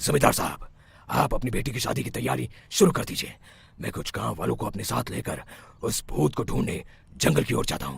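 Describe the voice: In a cartoonish character voice, a man talks at a fairly quick pace and a fairly low pitch.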